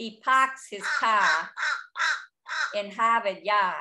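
A woman does a put-on character voice in a Boston accent, nasal and fairly high-pitched. She talks at a very slow pace. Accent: Boston, New England.

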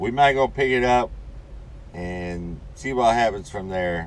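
A man at a fairly slow pace with ordinary pitch variation, in a dry recording with no echo. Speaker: truck driver vlogger. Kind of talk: casual vlog chat. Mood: relaxed, winding down. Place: car. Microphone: phone near.

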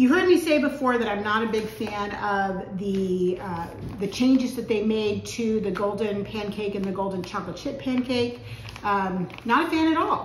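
A woman speaks at a moderate pace. There is audible room echo and light background noise. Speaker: home cooking vlogger. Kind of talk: casual vlog chat. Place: kitchen. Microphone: camera far.

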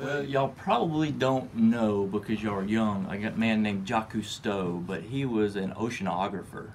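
Light background noise lies beneath a man's voice. His pitch is fairly low, with ordinary pitch variation. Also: fairly quick pace. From Tennessee (Gallatin, near Nashville); Tennessee. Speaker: manufacturing executive; podcast guest. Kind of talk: interview. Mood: warm, reflective. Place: studio. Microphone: studio mic.

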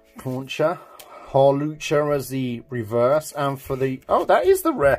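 A man's voice with music in the background. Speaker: card unboxing youtuber. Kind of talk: casual card-opening commentary. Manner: casual, running commentary.

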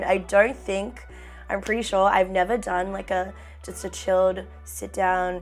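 An upbeat woman's voice at a fairly slow pace, with faint music in the background. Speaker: beauty vlogger. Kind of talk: casual chatty makeup talk to camera. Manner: chatty, upbeat. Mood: chatty, relaxed.

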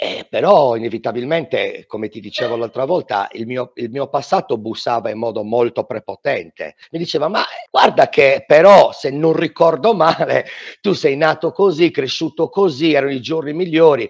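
A man with a fairly high pitch and lively intonation, at a moderate pace against a quiet background. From Sardinia. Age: 40s. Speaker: fitness instructor. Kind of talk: testimony. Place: home room. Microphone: headset.

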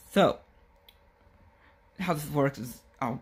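A man talks at a fairly slow pace. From Richmond, Virginia. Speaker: podcast host. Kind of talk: casual talk to camera. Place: home room.

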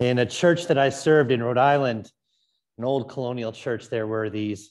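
With a moderate pace and ordinary pitch variation, a man speaks while the background stays quiet. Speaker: priest. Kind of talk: liturgy. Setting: church. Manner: formal. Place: church.

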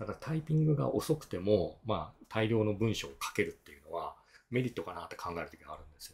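A man talks at a very fast pace with very wide pitch swings and big swings in loudness. His voice is somewhat breathy. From Japan, Miyazaki; Japan. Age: 50s. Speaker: tax accountant and efficiency consultant; blogger. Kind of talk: solo video talk; explanatory talk, casual lecture. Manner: casual, filler-heavy. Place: home room.

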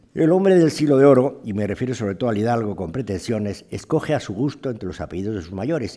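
Over a quiet background, a man talks at a very fast pace. His tone is dark and mellow, his intonation lively. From Spain. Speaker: historian giving a lecture. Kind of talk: lecture. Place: hall. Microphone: podium.

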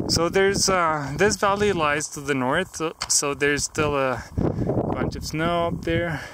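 Loud background noise runs behind a man speaking at a fairly slow pace. The sound is dry, with no echo. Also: fairly high pitch for a man, ordinary pitch variation. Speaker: hiker vlogger. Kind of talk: outdoor vlog narration. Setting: outdoors on a mountain pass. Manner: casual with fillers. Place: open country. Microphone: phone near.

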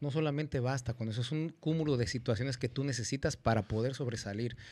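This man's speech moves at a fairly quick pace. The rise and fall of his pitch is ordinary. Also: quiet background. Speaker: panelist. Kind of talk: talk show commentary. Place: studio. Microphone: studio mic.

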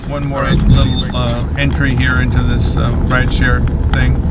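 Loud background noise fills this recording. Through it, a man speaks at a moderate pace. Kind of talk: casual vlog chat. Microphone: phone near.

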